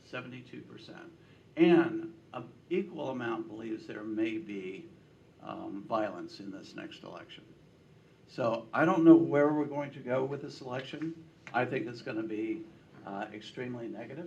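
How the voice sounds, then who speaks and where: In a room with audible echo, a man of medium pitch speaks at a moderate pace with lively intonation and long, frequent pauses. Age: 70s. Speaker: political pollster. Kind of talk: speech to a breakfast meeting. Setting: breakfast meeting with audience.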